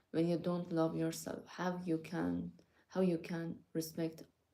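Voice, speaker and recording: A woman with a non-native accent speaks at a very slow pace. Her pitch is fairly low and her tone dark and mellow. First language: not English. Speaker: vlogger. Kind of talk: casual monologue to viewers. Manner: hesitant, many fillers.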